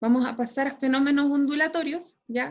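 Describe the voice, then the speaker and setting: The woman's voice is pitched high. She keeps her intonation fairly even. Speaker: school physics teacher. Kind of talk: online class lecture. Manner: frequent filler tags like ¿cierto? and ¿ya?.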